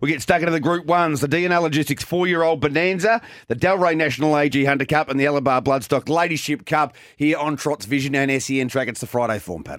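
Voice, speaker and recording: A man with an Australian accent at a very fast pace, fairly high in pitch with ordinary pitch variation, on a very clean recording with a silent background. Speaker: harness racing presenter. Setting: studio broadcast.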